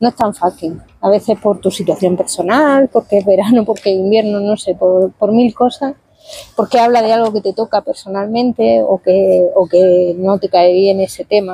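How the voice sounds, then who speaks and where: The speaker uses a Murcian accent at a moderate pace. Intonation is fairly even and loudness very even. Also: woman, medium pitch for a woman. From Spain, Murcia region (Lorca). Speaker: novelist. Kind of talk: interview. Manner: hesitant, self-correcting.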